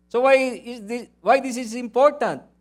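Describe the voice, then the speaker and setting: A man speaks at an extremely high pitch. His pace is very slow. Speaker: pastor. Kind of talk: sermon. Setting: church. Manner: loud.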